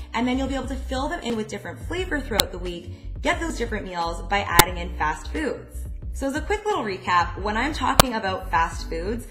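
Over clear background music, a woman talks at a fairly quick pace. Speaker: dietitian vlogger. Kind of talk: tutorial. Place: kitchen.

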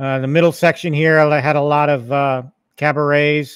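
The sound is dry with no echo, and the background is quiet. A man speaks at a fairly high pitch and a fairly slow pace. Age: 50s. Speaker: YouTube gaming channel host. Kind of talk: casual livestream chat. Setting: home arcade livestream with mic. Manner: halting, many fillers. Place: home room. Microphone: studio mic.

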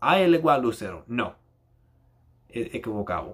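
A man's bright, sharp voice makes very wide pitch swings, with vocal fry. The background is quiet. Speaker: YouTuber. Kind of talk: angry rant. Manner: animated, exasperated, impatient; halting, code-switching between Spanish and English. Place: home room. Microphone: webcam.

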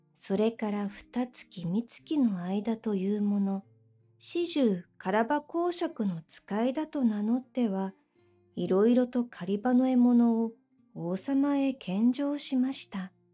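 A woman with a fairly high pitch speaks very slowly in a calm, soothing tone with lively intonation. Music plays in the background. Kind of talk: bedtime story reading.

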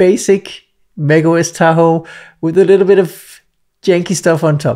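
With a quiet background behind him, a man is talking. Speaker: software tutorial creator. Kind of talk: tutorial. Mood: cheerful, relaxed. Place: home room. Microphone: studio mic.

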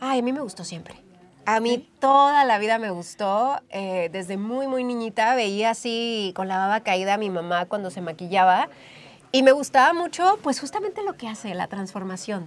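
A woman talks at a moderate pace with lively intonation. Her loudness swings widely. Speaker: interviewee, makeup creator. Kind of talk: interview answer. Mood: warm, cheerful. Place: studio.

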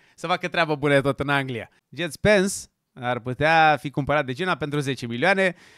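A man talks at a moderate pace in a bright, sharp, animated tone, his pitch fairly high with ordinary variation. The sound is dry with no echo over a quiet background. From Romania. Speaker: football YouTuber. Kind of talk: casual video commentary; casual commentary. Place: studio. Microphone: studio mic.

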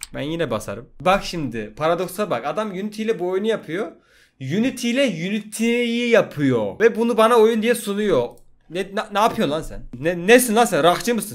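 Man with a high voice and lively intonation, at a moderate pace against a quiet background. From Turkey. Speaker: gaming youtuber. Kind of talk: let's play commentary. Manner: animated. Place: home room. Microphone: studio mic.

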